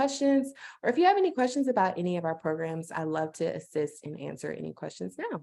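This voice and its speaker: A woman talking at a very fast pace. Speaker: platform representative presenting a business portal. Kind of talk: webinar presentation. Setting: video call webinar.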